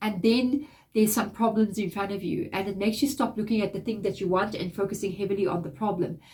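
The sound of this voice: A woman with a medium pitch talks at a fairly quick pace, her nasal voice carrying a slightly mellow tone and fairly even intonation.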